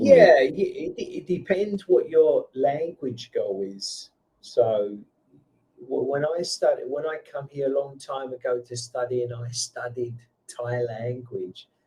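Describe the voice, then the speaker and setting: Speaking at a very slow pace, a man shifts between loud and soft in big swings. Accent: London. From England (London). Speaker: online English tutor. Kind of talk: casual conversation lesson.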